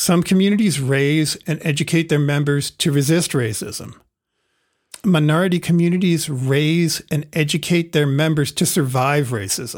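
An American accent and an unremarkable speaking voice belong to a man with a fairly high pitch who talks at a moderate pace, with ordinary pitch variation and very even loudness, on a very clean recording with a silent background. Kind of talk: casual conversational discussion.

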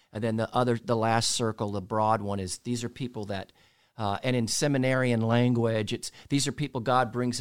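A man talks at a fairly quick pace in a medium pitch. He has an ordinary speaking voice. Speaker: chaplain or marriage counselor. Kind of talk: casual chat with sermon-like teaching.

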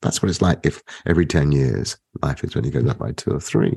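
A man talks at a fairly quick pace with a British accent. His voice has vocal fry. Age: 50s. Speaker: economics professor. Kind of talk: interview.

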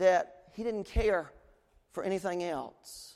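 A very slow man's voice, high in pitch. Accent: East Tennessee. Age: 40s. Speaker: pastor. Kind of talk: sermon. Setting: church.

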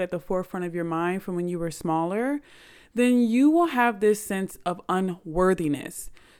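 In a very clean recording with a silent background, a woman talks in an animated tone with ordinary pitch variation. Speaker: podcast host. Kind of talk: casual monologue.

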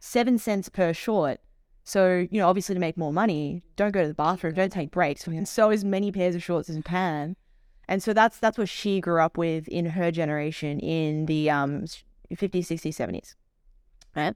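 In a very clean recording with a silent background, a woman with an Australian accent speaks at a fairly low pitch, the sound dry and close with no echo. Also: ordinary pitch variation, moderate pace. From Australia, Melbourne. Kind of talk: interview, personal story.

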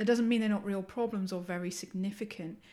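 With an English accent, a woman speaks at a medium pitch with ordinary pitch variation on a very clean recording with a silent background. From England. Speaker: university professor and podcast host. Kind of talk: casual academic discussion.

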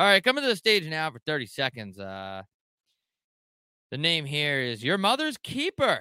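A man speaks at a moderate pace with a fairly high pitch and very wide pitch swings. His tone is clear, smooth, bright and sharp, and the sound is dry and close with no echo.

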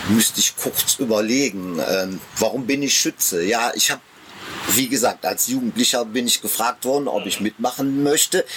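With noticeable background noise behind him, a man of medium pitch speaks at a moderate pace, his loudness very even and his pitch variation ordinary. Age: 60s. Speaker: amateur theatre director and marksmen's club member. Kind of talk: casual interview. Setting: outdoors in a garden.

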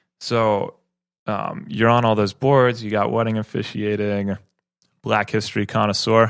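In a quiet background, a man talks at a fairly slow pace and fairly low pitch with fairly even intonation, using an ordinary speaking voice. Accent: American. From Madison, Wisconsin. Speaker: podcast host. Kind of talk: casual interview. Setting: studio.

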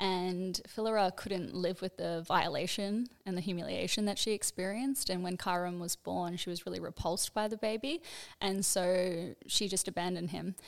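An unremarkable speaking voice from a woman at medium pitch, moderate pace and fairly even intonation, with hardly any pauses, on a very clean recording with a silent background. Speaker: astrologer. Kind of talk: explanatory teaching.

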